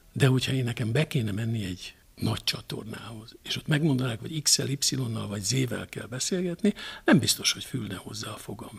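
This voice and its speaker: A man speaks at a fairly quick pace and medium pitch, with vocal fry. His pitch variation is ordinary, while his loudness swings widely. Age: 60s. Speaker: television journalist. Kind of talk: interview. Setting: at guest's home.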